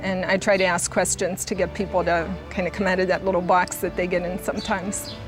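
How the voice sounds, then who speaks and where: A woman's medium-pitched voice at a moderate pace, with music in the background. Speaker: grief counselor. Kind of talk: interview answer.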